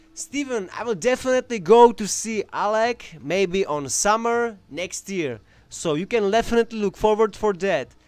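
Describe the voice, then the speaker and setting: Speaking in a Czech accent, a man with a high pitch sounds animated, using lively intonation at a moderate pace with hardly any pauses. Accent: Slavic (Czech) accent, heard as Russian. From Czech Republic. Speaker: knife throwing champion and YouTuber. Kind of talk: live stream Q&A. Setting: home workshop. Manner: casual, animated.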